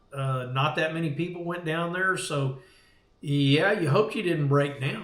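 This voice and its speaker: With an American accent, a man speaks at a fairly high pitch with ordinary pitch variation, with audible room echo around him. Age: 60s. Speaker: veteran surf fisherman. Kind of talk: casual chat. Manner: halting.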